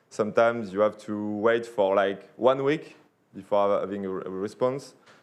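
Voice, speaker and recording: At a moderate pace, a man speaks with a slight French accent and ordinary pitch variation. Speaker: sponsor representative. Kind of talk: sponsor pitch. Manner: halting.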